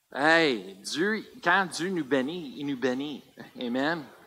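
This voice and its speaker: A man talks at a very slow pace. His tone is bright and sharp. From US, Colorado. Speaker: pastor. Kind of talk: sermon. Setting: church. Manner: halting.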